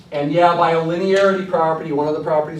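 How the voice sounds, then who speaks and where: Amid noticeable background noise and audible room echo, a man with a fairly high voice talks at a very fast pace. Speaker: math professor. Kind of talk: lecture.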